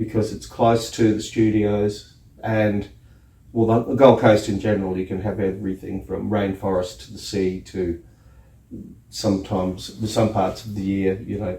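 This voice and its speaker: The speaker has an Australian accent and talks at a moderate pace. The intonation stays monotone and flat. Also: man, fairly low pitch for a man. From Australia, outback Queensland. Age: 60s. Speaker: scenic artist. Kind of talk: interview. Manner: casual, hesitant with fillers.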